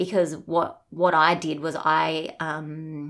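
A woman with an Australian accent, a very deep, low pitch and monotone, flat intonation, in a very clean recording with a silent background. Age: 30s. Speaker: guest sharing lived experience of a parent's mental illness. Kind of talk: personal testimony in interview. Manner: halting, with fillers and repeats.

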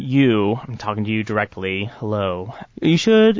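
Using an ordinary speaking voice, a man talks at a moderate pace with lively intonation. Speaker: comedian. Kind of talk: casual comedic chat with sketches.

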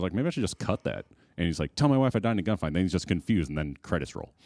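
The speaker talks with an American accent and very wide pitch swings. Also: man. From Chicago suburbs. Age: 30s. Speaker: filmmaker and film school graduate. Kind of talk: casual chat.

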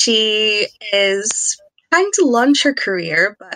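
With a Scottish accent, a woman is speaking. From Scotland. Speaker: podcast guest, TV reviewer. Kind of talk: casual chat.

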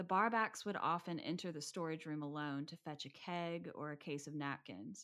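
A normal speaking voice with ordinary pitch variation goes at a moderate pace on a very clean recording with a silent background. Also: woman. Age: 30s. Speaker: podcast co-host. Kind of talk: casual chat; reading aloud.

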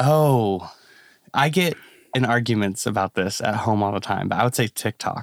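A man talks in an ordinary speaking voice at a medium pitch, with ordinary pitch variation and very even loudness. The sound is dry and close with no echo, on a very clean recording with a silent background. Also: moderate pace. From US Midwest, born in Kentucky. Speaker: singer-songwriter. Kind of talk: casual chat.

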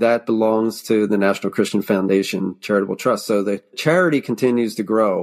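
Captured in a very clean recording with a silent background, a man with an American accent has an ordinary speaking voice, a medium pitch, ordinary pitch variation and a moderate pace. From Lancaster County, Pennsylvania. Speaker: home builder and business founder. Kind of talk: interview conversation.

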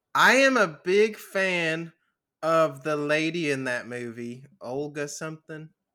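A man's fairly high, bright and sharp voice with lively intonation at a very slow pace, on a very clean recording with a silent background. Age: 20s. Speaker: movie podcast host. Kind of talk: casual chat. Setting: Twitch stream. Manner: laughs often.

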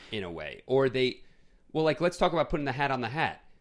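Vocal fry runs through this voice with an American accent, captured on a very clean recording with a silent background. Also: man. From US Northeast, Queens, New York. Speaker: film podcast co-host. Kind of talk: casual chat.

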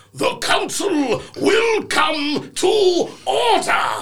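A man puts on a character voice at an extremely high pitch. He talks at a very slow pace.

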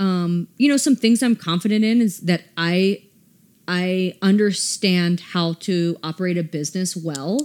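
On a very clean recording with a silent background, a woman with an American accent speaks in an ordinary speaking voice. Her pitch is medium with ordinary variation, and her pace is fairly slow. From US South, Atlanta. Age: 30s. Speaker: boutique owner. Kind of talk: casual interview.

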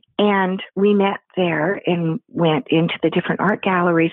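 A woman with an American accent, medium pitch, moderate pace and a plain, everyday voice. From US Pacific Northwest. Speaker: artist. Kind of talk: interview. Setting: phone call.

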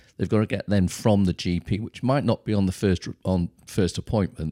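Speaking at a fairly quick pace with a Welsh accent, a man has a fairly low pitch, a dark, mellow tone and ordinary pitch variation, in a dry, close sound with no echo on a very clean recording with a silent background. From North Wales. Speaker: charity chief executive. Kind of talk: interview.

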